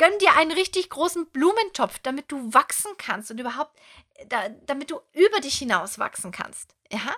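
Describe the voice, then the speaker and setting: At a moderate pace, a woman speaks in a raised, projected voice that is high-pitched, bright and sharp, with an animated tone, very wide pitch swings and big swings in loudness. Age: 30s. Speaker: podcast host and coach. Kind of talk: motivational monologue.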